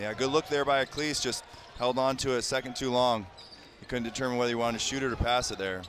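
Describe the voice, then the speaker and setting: A man's medium-pitched voice in an upbeat tone at a very fast pace, with noticeable background noise. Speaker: color analyst. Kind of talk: live color commentary. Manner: conversational analyst, upbeat and explanatory.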